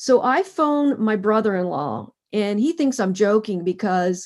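Against a quiet background, a woman with an American accent and a plain, everyday voice talks at a medium pitch and fairly slow pace. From Pennsylvania (Harrisburg area). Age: 50s. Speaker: endurance athlete and cancer survivor. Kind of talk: interview.

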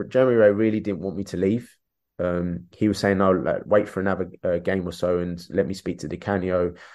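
Very deep, low male voice with a South London accent, fairly quick and fairly even in intonation, over a quiet background. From London, England (Peckham), Irish parents. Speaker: former professional footballer, now coach. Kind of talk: casual interview chat. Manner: repetitive, halting with fillers.

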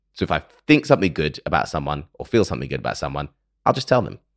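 A man at a very fast pace with very wide pitch swings and vocal fry, on a very clean recording with a silent background and a dry, close sound with no echo. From London, England. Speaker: meditation and wellbeing podcaster. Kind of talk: guided meditation intro then personal talk. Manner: calm, reflective.

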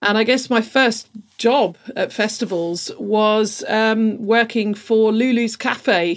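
The speaker talks at a very slow pace with very even loudness and fairly even intonation. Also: woman, fairly high pitch for a woman. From London. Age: 40s. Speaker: events production manager. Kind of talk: casual chat.

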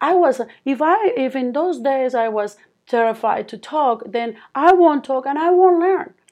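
At a fairly slow pace, a woman with a Colombian accent talks in a high voice with lively intonation. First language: Spanish. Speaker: speech therapist, founder of therapy company. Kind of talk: interview. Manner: halting.

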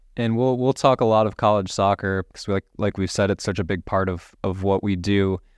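Speaking at a moderate pace with hardly any pauses, a man keeps a fairly low pitch and fairly even intonation, the sound dry and close with no echo against a quiet background. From Metro Detroit, Michigan, US. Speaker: podcast host. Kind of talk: casual interview.

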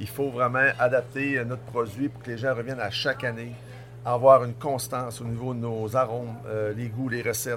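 Flat, monotone intonation from a man at a medium pitch, moving at a moderate pace. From Tadoussac, Côte-Nord, Quebec. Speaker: innkeeper and restaurateur. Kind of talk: casual interview. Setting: restaurant dining room.

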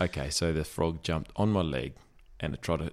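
A man with a strong Australian accent speaks at a moderate pace in a very deep, low voice with vocal fry, in a very clean recording with a silent background. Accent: broad Australian. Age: 40s. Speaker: podcast co-host. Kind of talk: casual chat.

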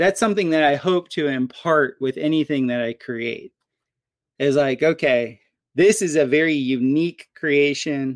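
A man with an American accent and an ordinary speaking voice, fairly high in pitch and fairly slow in pace, in a very clean recording with a silent background and a dry, close sound with no echo. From Florida, US (Fort Lauderdale). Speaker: permaculture and natural building expert. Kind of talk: casual interview chat.

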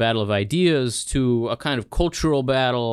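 Very clean and silent behind him, a man speaks in a Mid-Atlantic accent at a medium pitch. His intonation is lively and his pace moderate. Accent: American, Mid-Atlantic. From US Northeast (Philadelphia, New Jersey), born in Israel. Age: 40s. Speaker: think tank scholar. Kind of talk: interview. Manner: halting, repeated words.

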